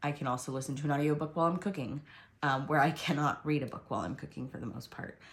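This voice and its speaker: A woman speaks with a very deep, low pitch, vocal fry and ordinary pitch variation. Her loudness swings widely. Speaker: planner video creator. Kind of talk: tutorial. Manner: hesitant, many fillers.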